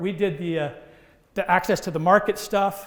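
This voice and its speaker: Talking very fast, a man uses a high pitch. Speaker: workshop presenter on food safety innovation. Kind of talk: workshop presentation.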